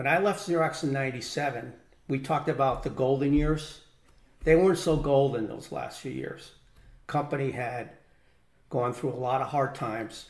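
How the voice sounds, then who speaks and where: With an American accent, a man speaks at a fairly high pitch and a moderate pace, his voice somewhat breathy, with ordinary pitch variation and long, frequent pauses. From Connecticut, US. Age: 60s. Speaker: retired corporate executive and business owner. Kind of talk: casual interview, personal storytelling.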